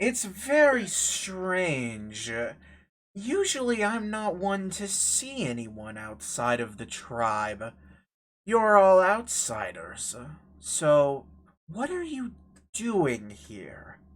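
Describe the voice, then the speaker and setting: A put-on character voice moves at a very slow pace in a very clean recording with a silent background. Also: man, high pitch for a man. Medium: actual play.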